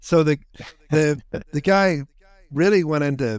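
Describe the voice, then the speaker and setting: A man talks with an Irish accent and ordinary pitch variation. The sound is dry and close, with no echo. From Ireland. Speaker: entrepreneur, author. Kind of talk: podcast interview answer.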